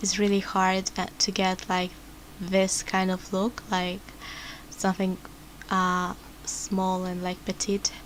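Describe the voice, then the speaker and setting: A woman speaks with a non-native accent and a medium pitch. Her pace is fairly slow. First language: not English. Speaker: vtuber. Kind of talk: tutorial. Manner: halting.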